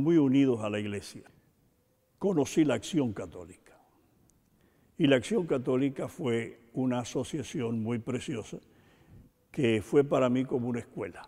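Words come out at a fairly slow pace. A dark, mellow tone colors the voice. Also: man. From rural Cuba. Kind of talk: interview.

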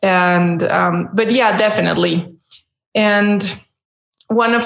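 A woman with a Spanish accent, very slow, with ordinary pitch variation. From Mexico. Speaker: dog trainer. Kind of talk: interview.

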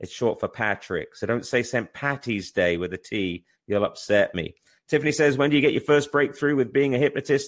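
Vocal fry colors this man's energetic, animated tone. He moves at a fairly quick pace with lively intonation. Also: medium pitch for a man. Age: 50s. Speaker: stage hypnotist and show host. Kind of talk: live-streamed show, motivational talk with viewer Q&A. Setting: live internet radio and Facebook Live stream.

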